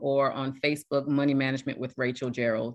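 Against a quiet background, a woman speaks in a very deep, low voice with fairly even intonation. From South Carolina. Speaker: retired Marine and home buyer. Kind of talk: interview.

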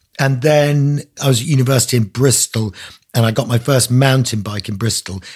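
A somewhat breathy man at a medium pitch, with ordinary pitch variation. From Isle of Man. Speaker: author. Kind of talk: interview. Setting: video call.

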